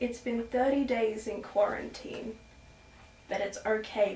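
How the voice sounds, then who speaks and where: A soft-spoken woman talks in a monotone, flat way. There is audible room echo and light background noise. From Australia. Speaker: children's book author and illustrator; storyteller. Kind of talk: reading aloud. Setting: at home. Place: home room. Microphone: camera far.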